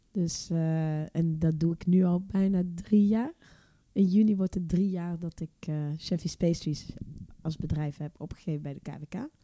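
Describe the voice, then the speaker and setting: A woman's dark, mellow tone, fairly even intonation and fairly slow pace. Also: fairly low pitch for a woman. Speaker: cake baker, business owner. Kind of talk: casual interview.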